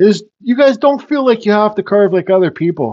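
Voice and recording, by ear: A man's high-pitched voice with a slightly mellow tone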